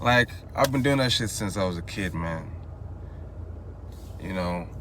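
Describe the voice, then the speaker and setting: A man speaks with a very deep, low pitch and a bright, sharp tone at a moderate pace. His intonation is lively, and there's audible room echo. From Nigeria, Igbo, Enugu State. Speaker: vlogger. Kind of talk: casual monologue. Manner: casual, rambling with false starts.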